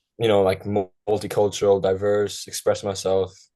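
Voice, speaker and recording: With an American accent, a man with a fairly low pitch and a dark, mellow tone speaks at a fairly quick pace over a quiet background. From Ireland, County Kerry. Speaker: college soccer player. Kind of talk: podcast interview. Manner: casual, many filler words.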